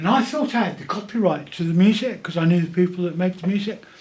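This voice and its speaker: This man's voice sits high in pitch, with ordinary variation in its rise and fall. Room echo is audible around him. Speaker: animator and event promo maker. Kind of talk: casual video monologue.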